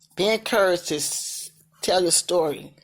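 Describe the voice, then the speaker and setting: Speaking with a slight Southern US accent, a woman has a fairly low pitch. Her pace is fairly quick, and the recording is very clean with a silent background. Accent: slight Southern country. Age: 60s. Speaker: vlogger sharing life story. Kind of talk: personal testimony. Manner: casual, repetitive.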